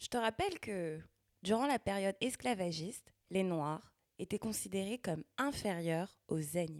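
On a very clean recording with a silent background and a dry, close sound with no echo, a woman speaks at medium pitch with lively intonation. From Paris suburbs, Val-de-Marne, France. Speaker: podcast host. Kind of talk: solo podcast monologue. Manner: casual, conversational.

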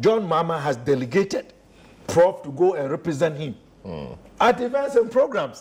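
Here a man speaks with a high pitch at a moderate pace. His pitch swings very widely. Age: 50s. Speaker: former academic and political commentator. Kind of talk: panel discussion.

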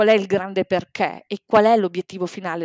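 Against a quiet background, a woman talks at a moderate pace and medium pitch with fairly even intonation, the sound dry and close with no echo. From Bologna, northern Italy. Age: 40s. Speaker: life and sports coach. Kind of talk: podcast interview.

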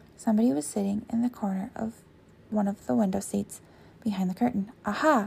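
A woman with an American accent talks at a moderate pace with ordinary pitch variation. Her voice is somewhat breathy, with a dark, mellow, dramatic tone. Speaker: podcast host. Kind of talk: ghost story reading aloud, narrating scripted fiction. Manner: hushed, suspenseful storytelling pace with dramatic pauses; casual, chatty, laughs easily in intro.

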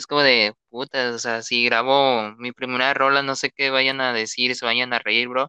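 Over a quiet background, a man with a Mexican accent talks at a moderate pace and medium pitch in a bright, sharp tone, his intonation monotone and flat, the sound dry and close with no echo. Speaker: podcast host and music artist. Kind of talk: casual chat.

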